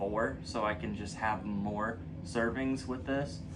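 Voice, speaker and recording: Audible room echo surrounds a man with a fairly low pitch who talks at a fairly slow pace with ordinary pitch variation. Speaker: fitness youtuber. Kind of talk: product review. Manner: casual, conversational.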